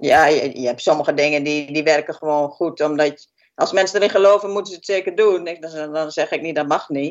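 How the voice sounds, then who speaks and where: Pitched very deep and low, a woman speaks with ordinary pitch variation, big swings in loudness and hardly any pauses. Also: fairly quick pace. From Twente, eastern Netherlands (Haaksbergen). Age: 50s. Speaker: healthcare worker. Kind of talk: interview.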